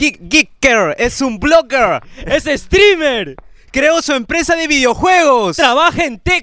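A man's raised, projected voice at an extremely high pitch, bright and sharp in tone, with lively intonation at a very slow pace. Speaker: podcast host. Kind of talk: casual chat. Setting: studio. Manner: animated.

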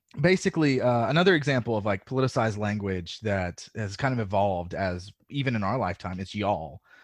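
Against a quiet background, a man talks at a fairly quick pace with an American accent. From US South. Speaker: podcaster. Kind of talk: casual chat.

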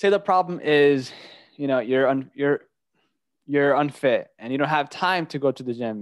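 The speaker has a normal speaking voice, fairly even intonation and a moderate pace. The sound is dry and close with no echo, against a quiet background. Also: man. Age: 20s. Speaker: podcast host. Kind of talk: interview.

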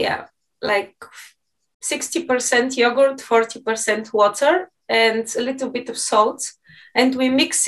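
A Bulgarian accent at a fairly slow pace, with ordinary pitch variation. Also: woman. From Bulgaria (Plovdiv). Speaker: university professor of Spanish. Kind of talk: casual interview.

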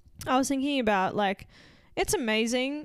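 An ordinary speaking voice moves at a fairly quick pace with ordinary pitch variation in a very clean recording with a silent background. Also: woman. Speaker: gym coach, podcast host.

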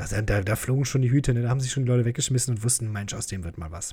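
A man with a dark, mellow tone and medium pitch talks very fast and somewhat breathily, with ordinary pitch variation and hardly any pauses. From Germany, Krefeld. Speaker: podcast host, comedian. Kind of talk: casual solo monologue, listener Q&A. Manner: joking, with frequent laughs.

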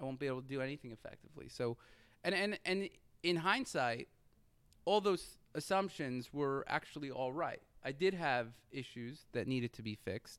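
A man with a plain, everyday voice talks at a moderate pace. His fairly high pitch moves with lively intonation. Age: 30s. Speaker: entrepreneur and company CEO. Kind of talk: interview.

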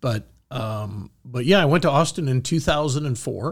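In a very clean recording with a silent background, a man with vocal fry speaks at a moderate pace with lively intonation. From Michigan, US Midwest. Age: 50s. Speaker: coin grading executive. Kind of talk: interview storytelling. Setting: studio.

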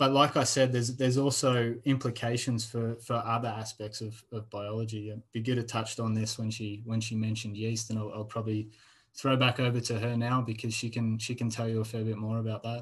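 In an Australian accent, a man talks at a fairly quick pace in a medium pitch, somewhat breathy and flat in intonation, against a quiet background. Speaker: postdoctoral researcher. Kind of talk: interview.

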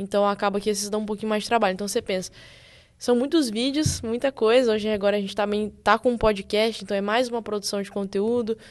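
Fairly high in pitch, a woman speaks at a very fast pace with fairly even intonation. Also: quiet background. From Brazil, Espírito Santo. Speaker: actress and screenwriter. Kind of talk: casual interview chat.

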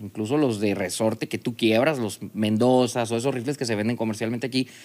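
A normal speaking voice from a man, medium-pitched and fairly quick, on a very clean recording with a silent background. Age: 40s. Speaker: business owner. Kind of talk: casual chat.

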